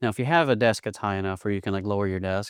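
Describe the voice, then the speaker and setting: In an East Texas accent, a man speaks with a fairly low pitch and fairly even intonation. The background is quiet. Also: dry, close sound with no echo. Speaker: podcast consultant. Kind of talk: tutorial. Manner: fast; casual.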